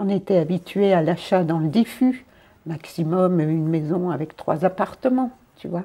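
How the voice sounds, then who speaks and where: At a fairly slow pace, a woman speaks in a dark, mellow tone on a very clean recording with a silent background. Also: ordinary pitch variation. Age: 60s. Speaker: volunteer running a community space. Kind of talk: interview.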